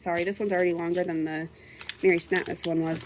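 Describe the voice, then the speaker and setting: Against noticeable background noise, a woman speaks with a fairly low pitch. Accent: American. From Minnesota, US. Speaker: craft and budgeting vlogger. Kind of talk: casual unboxing vlog. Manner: chatty, rambling with many fillers.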